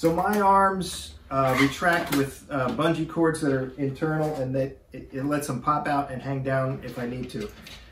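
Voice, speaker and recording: A man's voice with hardly any pauses, audible room echo and light background noise. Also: ordinary pitch variation, moderate pace. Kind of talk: tutorial. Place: home room. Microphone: camera far.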